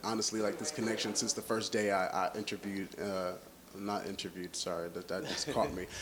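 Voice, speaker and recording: A fairly quick pace and ordinary pitch variation mark this man's fairly low voice, heard through noticeable background noise. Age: young. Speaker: R&B singer. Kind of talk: interview answer. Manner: casual, conversational.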